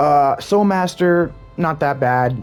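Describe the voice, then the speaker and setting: Music plays in the background as a man speaks. His pitch swings very widely. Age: 30s. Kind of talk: casual gaming commentary.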